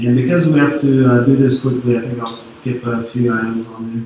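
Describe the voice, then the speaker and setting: Monotone, flat speech comes at a moderate pace, with noticeable background noise and audible room echo. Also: man. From Quebec, Canada (Sherbrooke). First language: French. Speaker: security consultant. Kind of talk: conference talk. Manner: hesitant, many fillers.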